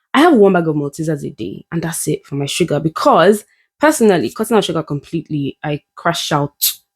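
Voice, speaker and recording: In a very clean recording with a silent background and a dry, close sound with no echo, a woman speaks at a fairly quick pace in a fairly low pitch, with an animated tone and lively intonation. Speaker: vlogger. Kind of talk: casual vlog talk to camera. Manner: fast.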